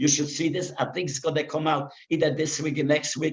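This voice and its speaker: With a somewhat breathy voice, a man talks at a fairly quick pace in a fairly high pitch. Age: 90s. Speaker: musician, Holocaust survivor. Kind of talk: interview. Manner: halting.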